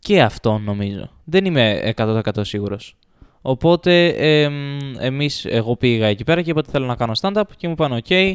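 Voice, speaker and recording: Pitch swings very widely around a man's medium range. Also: moderate pace. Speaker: house owner and friend of the hosts. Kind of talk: casual chat.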